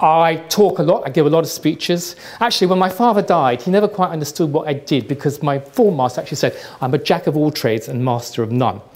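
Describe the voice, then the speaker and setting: Very fast speech from a man with a fairly high pitch, lively intonation and a British accent. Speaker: trend forecaster. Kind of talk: lecture. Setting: stage with audience.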